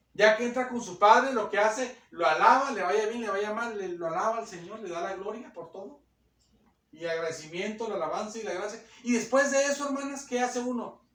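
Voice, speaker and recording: Over audible room echo, a man speaks at a high pitch with ordinary pitch variation and big swings in loudness. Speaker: preacher. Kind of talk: sermon. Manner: fast.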